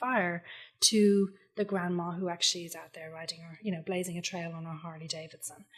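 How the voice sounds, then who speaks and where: Speaking in an Irish accent, a woman keeps a moderate pace at a medium pitch. Her intonation is fairly even, and her voice is somewhat breathy. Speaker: copywriter. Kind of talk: podcast interview answer.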